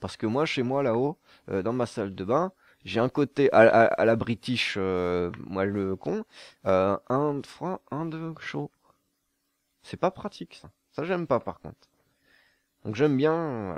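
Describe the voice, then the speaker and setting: Very slowly, with long, frequent pauses, a man speaks, his pitch swinging very widely and his loudness swinging a lot. The background is quiet and the sound dry with no echo. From southern France. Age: 20s. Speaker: gaming YouTuber. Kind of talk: casual Q&A monologue. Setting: studio. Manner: relaxed, laughing. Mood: playful, joking. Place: home room. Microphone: studio mic.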